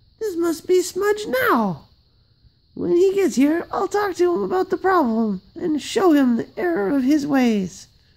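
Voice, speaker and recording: In a put-on character voice, the speaker talks at a high pitch with very wide pitch swings and a moderate pace. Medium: read story. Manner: polite, gentle.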